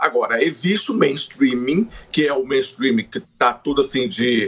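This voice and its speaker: A man with lively intonation talks at a moderate speed while noticeable background noise sounds behind him. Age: 50s. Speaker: music journalist and author. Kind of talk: interview.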